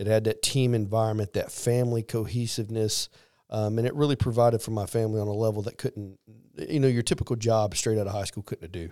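In a Missouri accent, a man talks at a very fast pace with medium pitch, a dark, mellow tone and fairly even intonation, the sound dry and close with no echo on a very clean recording with a silent background. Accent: Midwestern US (Missouri). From Missouri, small rural town. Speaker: army command sergeant major. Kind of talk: interview. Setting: studio.

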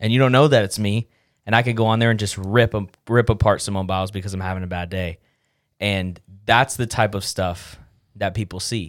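A man's fairly low, unremarkable speaking voice, with fairly even intonation at a fairly quick pace, on a very clean recording with a silent background. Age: 20s. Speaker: podcast producer. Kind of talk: casual chat.

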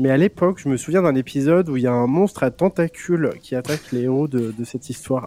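With a Franche-Comté accent, a man speaks very fast at a fairly high pitch with ordinary pitch variation. His dark, mellow tone comes through with a dry, close sound with no echo. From Franche-Comté, France. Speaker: youtuber. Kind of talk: casual chat.

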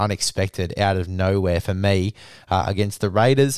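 Over a silent background in a very clean recording, a man talks at a moderate pace with a fairly low pitch and monotone, flat intonation. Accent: Australian. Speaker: rugby league podcast host. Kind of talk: scripted review read aloud, hushed. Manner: quiet, soft-spoken; casual, swears.

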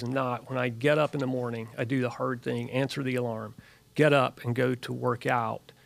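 In an ordinary speaking voice, a man speaks at a moderate pace and medium pitch with fairly even intonation. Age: 50s. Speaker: clinical research worker, fitness group member. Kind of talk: casual chat.

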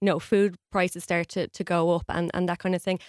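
A woman with an Irish accent, fairly quick and monotone, flat in intonation, dry and close with no echo, on a very clean recording with a silent background. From Ireland. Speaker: journalist. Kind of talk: radio interview.

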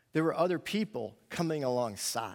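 A man with a plain, everyday voice and an American accent speaks at a moderate pace with fairly high pitch and lively intonation in a very clean recording with a silent background. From New York. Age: 50s. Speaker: pastor and student ministry teacher. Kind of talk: sermon. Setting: church with audience.

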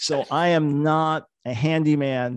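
Against a quiet background, a man talks in a plain, everyday voice. His pitch is fairly high and his intonation fairly even. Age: 60s. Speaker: author and ministry leader. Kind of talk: podcast interview, storytelling.

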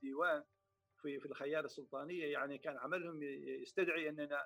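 A man talks in an ordinary speaking voice with a fairly high pitch. His intonation stays fairly even. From Oman, Samail. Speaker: poet and state council member. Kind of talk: interview.

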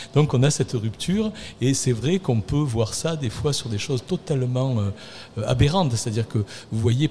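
A man talks at a moderate pace and medium pitch, his dark, mellow tone somewhat breathy and his intonation lively. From Arles, Provence. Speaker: city works manager, former mason. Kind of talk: radio panel discussion.

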